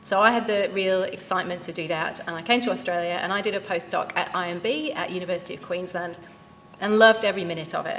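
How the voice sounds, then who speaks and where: Over noticeable background noise, a woman with a British accent and medium pitch talks at a very fast pace with ordinary pitch variation. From UK. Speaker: company founder and CEO, career speaker. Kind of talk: career talk at event.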